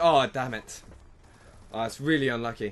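With a British accent, a man talks at a medium pitch. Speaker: gaming YouTuber. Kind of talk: live gameplay commentary, first-impression video. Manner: excitable, reactive; fast, repetitive, encouraging team chatter.

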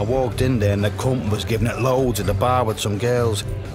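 Reading in an unforced voice

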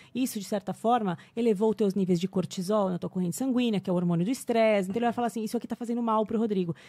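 A fairly high-pitched woman talks at a very fast pace with hardly any pauses, her tone dark and mellow and somewhat breathy. Her intonation stays fairly even against a quiet background. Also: dry sound with no echo. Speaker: English teacher. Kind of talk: casual interview chat. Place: studio. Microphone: studio mic.

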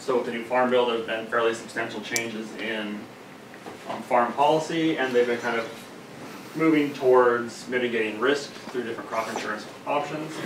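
Noticeable background noise runs behind a man's voice. He speaks at a fairly quick pace with fairly even intonation. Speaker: candidate. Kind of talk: lecture. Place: meeting room. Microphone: camera far.

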